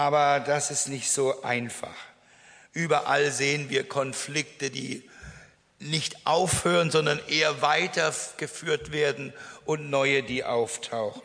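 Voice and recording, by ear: Speaking slowly, a man uses a fairly high, fairly bright voice with vocal fry and fairly even intonation.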